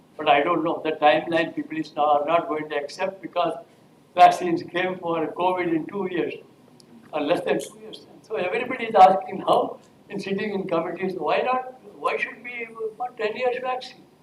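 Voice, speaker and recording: Amid noticeable background noise and audible room echo, a high-pitched man talks at a moderate pace with big swings in loudness. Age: 80s+. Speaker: professor. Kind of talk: lecture. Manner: halting.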